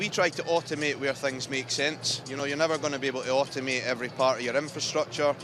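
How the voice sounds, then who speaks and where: Very fast, fairly high-pitched man's voice with a Scottish accent, hardly any pauses, and music in the background. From Scotland, Edinburgh. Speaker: tech company boss. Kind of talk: live event interview.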